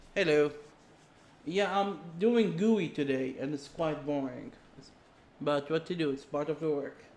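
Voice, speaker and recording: A man with an Arabic accent speaks at a fairly slow pace, leaving long, frequent pauses. His pitch is fairly high, with ordinary pitch variation. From Saudi Arabia. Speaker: game programmer streamer. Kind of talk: live coding stream. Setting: live stream. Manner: halting.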